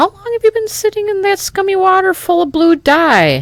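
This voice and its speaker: At a moderate pace, a put-on character voice comes out extremely high and squeaky. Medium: read story.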